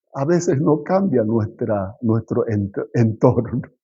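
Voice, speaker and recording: Someone with a non-native accent speaks at a very slow pace with lively intonation. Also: man. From South Korea, moved to Argentina at 15. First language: Korean (speaking Spanish). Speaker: pastor. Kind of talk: sermon. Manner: halting, with fillers and self-corrections.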